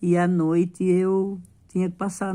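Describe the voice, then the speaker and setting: A woman's dark, mellow tone at a fairly low pitch. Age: 70s. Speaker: retired civil servant vlogger. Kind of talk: late-night personal vent to viewers. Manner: halting, repetitive.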